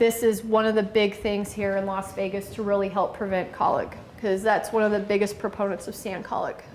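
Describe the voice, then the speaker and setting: The voice has monotone, flat intonation, and the room echo is audible. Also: woman. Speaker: veterinarian. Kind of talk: lecture.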